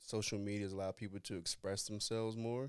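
Dry and close with no echo, the recording has a man with an American accent talking at a fairly low pitch in a monotone, flat intonation. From North Carolina. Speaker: basketball trainer. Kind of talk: casual chat. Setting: studio.

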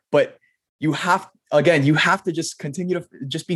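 Speaking at a very fast pace with an American accent, a man sounds animated and somewhat breathy. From US, Miami. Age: young. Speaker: superhero fan and content creator. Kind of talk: podcast interview.

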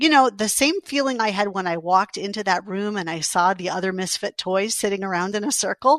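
With an American accent and an ordinary speaking voice, a woman talks at medium pitch and a fairly quick pace with hardly any pauses and ordinary pitch variation, in a dry, close sound with no echo. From New York City. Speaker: college president. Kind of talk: interview.

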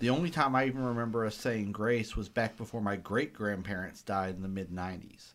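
A man with a Southern US accent at a fairly quick pace, ordinary pitch variation, in a very clean recording with a silent background. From US South. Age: 40s. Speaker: public health worker. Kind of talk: casual chat. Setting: studio.

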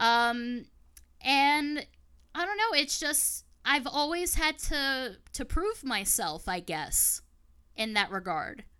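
A woman uses a raised, projected voice with a bright, sharp tone and high pitch. She talks at a very slow pace with very wide pitch swings. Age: 30s. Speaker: podcaster and YouTuber. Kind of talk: casual chat.

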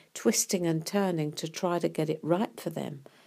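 A woman speaks in a dark, mellow tone on a very clean recording with a silent background. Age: 80s+. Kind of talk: devotional talk. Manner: halting.

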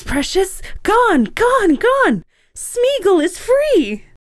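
An extremely high-pitched, put-on character voice. It goes at a very slow pace. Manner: gleeful, manic.

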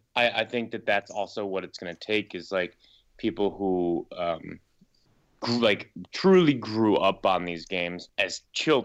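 Talking at a fairly slow pace in an unremarkable speaking voice, a man uses a fairly low pitch with ordinary pitch variation and big swings in loudness. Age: 30s. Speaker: filmmaker. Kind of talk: casual chat.

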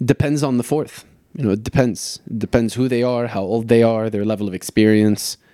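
A man with a dark, mellow tone and medium pitch talks at a fairly quick pace, his intonation fairly even. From Lebanon. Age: 30s. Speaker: soccer coach and former pro goalkeeper. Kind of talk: casual interview.

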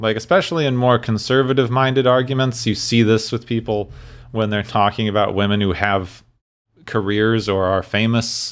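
A man's medium-pitched voice at a moderate pace with fairly even intonation, a normal speaking voice. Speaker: podcast host. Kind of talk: casual chat.

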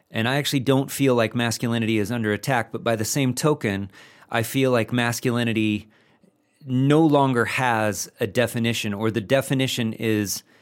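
In a very clean recording with a silent background, a man with a normal speaking voice talks at a moderate pace with fairly even intonation. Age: 40s. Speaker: masculinity coach. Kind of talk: interview.

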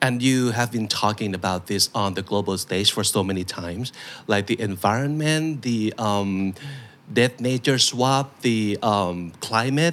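A man's fairly low voice in a Thai accent, at a fairly slow pace. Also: ordinary pitch variation. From Thailand. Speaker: podcast host. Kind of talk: interview.

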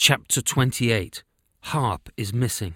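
A man with a plain, everyday voice at a moderate pace and ordinary pitch variation, in a dry, close sound with no echo and a very clean recording with a silent background. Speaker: audio storyteller. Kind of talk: scripted fairy-tale narration, read aloud with character dialogue. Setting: podcast recording. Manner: measured, storytelling cadence.

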